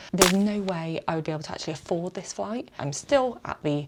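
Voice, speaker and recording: A woman with an English accent and lively intonation. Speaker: travel vlogger. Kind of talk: vlog narration. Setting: hotel room.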